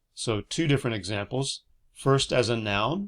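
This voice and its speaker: A man with an American accent speaks in very wide pitch swings on a very clean recording with a silent background. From United States. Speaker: English teacher. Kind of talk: educational explanation to camera. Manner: slow, clear.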